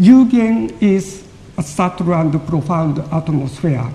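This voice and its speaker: A man with a Japanese accent speaks very slowly in a high voice over noticeable background noise. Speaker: lecturer on Japanese poetry. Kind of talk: audience Q&A; lecture. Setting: lecture hall with audience.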